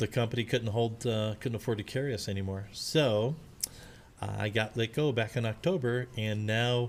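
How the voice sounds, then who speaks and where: Medium pitch in a man's speaking voice. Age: 60s. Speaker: streamer, retired data center worker. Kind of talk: live gameplay commentary. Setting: live stream. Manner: casual, hesitant with fillers.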